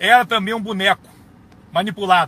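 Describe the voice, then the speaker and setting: Raised and projected, a man's high-pitched voice comes across with an animated, bright, sharp tone. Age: 60s. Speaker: retired army colonel. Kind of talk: political video monologue.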